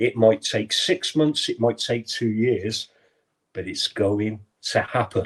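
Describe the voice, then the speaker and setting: A man's somewhat breathy voice at medium pitch, very slow, with ordinary pitch variation. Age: 60s. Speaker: caller. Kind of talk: call-in discussion. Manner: impassioned.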